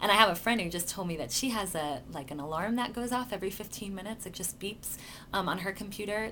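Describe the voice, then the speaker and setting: A woman talks at a fairly quick pace. The room echo is audible. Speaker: life coach vlogger. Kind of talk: casual video blog. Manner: hesitant, many fillers.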